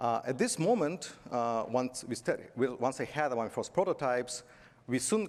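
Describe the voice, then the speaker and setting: A man talks at a medium pitch and a moderate pace with lively intonation. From Belarus. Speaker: tech conference speaker, software company executive. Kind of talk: conference talk. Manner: halting, with fillers.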